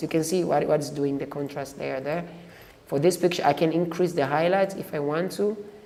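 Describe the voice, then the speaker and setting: Noticeable noise sits behind a voice that moves at a moderate speed. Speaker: photo editing tutor. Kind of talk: tutorial. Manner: halting with repetitions.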